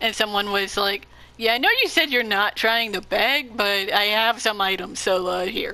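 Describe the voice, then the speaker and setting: A woman at a fairly high pitch with ordinary variation, moderate pace, and noticeable background noise. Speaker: gamer showing game content. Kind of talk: gameplay commentary.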